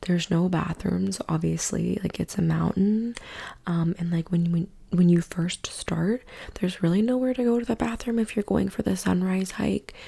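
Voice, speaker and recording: Soft-spoken and relaxed in tone, a woman speaks at a moderate pace with very even loudness. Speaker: ASMR content creator, travel storyteller. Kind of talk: ASMR yap, casual talk to camera. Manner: soft-spoken, relaxed, chatty.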